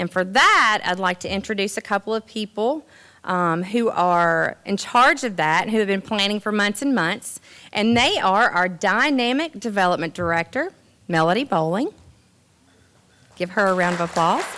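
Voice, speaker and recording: With a Southern US accent, a woman talks in a bright, sharp tone at a medium pitch, her intonation lively, on a very clean recording against a silent background. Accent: Southern US drawl. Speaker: master of ceremonies at college awards. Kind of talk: event hosting speech.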